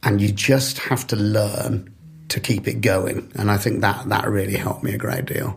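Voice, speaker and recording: Over noticeable background noise, a man with a fairly low pitch speaks at a moderate pace with ordinary pitch variation. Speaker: developer relations professional. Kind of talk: podcast interview.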